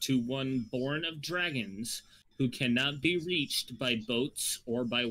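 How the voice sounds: A natural reading voice is heard here.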